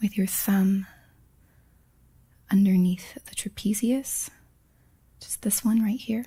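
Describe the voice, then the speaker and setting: A woman speaks very slowly in a medium pitch, with a gentle, dark, mellow tone. Her voice is somewhat breathy and her intonation fairly even. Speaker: massage instructor. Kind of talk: instructional massage tutorial narration. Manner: soft-spoken, gentle.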